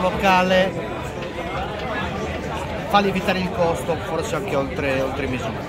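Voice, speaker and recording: Crowd noise fills the background as a man speaks at a fairly slow pace with ordinary pitch variation. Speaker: food vlogger. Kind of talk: casual vlog chat. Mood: relaxed, mildly critical. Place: bar. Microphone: phone near.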